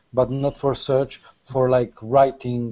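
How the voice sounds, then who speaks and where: The speaker talks at a fairly slow pace with a Polish accent. The tone is dark and mellow. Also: man. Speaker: SEO panelist. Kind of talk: panel discussion.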